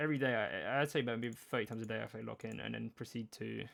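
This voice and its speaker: A man is speaking. His pace is very fast. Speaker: gaming youtuber. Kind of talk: casual gameplay commentary. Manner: rambling, filler-heavy.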